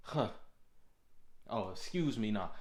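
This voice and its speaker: A man speaks in an animated tone amid audible room echo. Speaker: motivational vlogger. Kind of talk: motivational monologue. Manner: fast.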